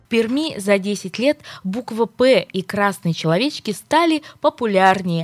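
A woman's unremarkable speaking voice at a medium pitch, fairly slow, with lively intonation and a dry, close sound with no echo. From Perm, Russia. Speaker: radio host. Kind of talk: morning radio talk show.

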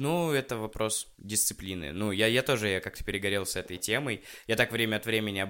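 A man with a normal speaking voice, fairly low in pitch, with ordinary pitch variation and a fairly quick pace, on a very clean recording with a silent background. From Russia. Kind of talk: casual chat.

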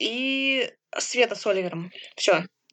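Very wide pitch swings over a quiet background. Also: woman. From Siberia, Kemerovo. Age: 20s. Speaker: blind psychology student, assistance dog owner. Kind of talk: interview.

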